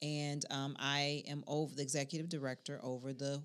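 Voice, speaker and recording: A woman with an American accent, very deep and low in pitch, at a moderate pace in a very clean recording with a silent background. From Chicago South Side. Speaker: podcast co-host. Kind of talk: casual chat.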